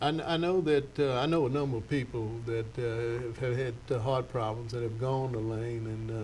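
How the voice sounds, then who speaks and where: A somewhat breathy man speaks at a moderate pace, with audible room echo around him. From Louisiana. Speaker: TV show host. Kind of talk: interview. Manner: halting.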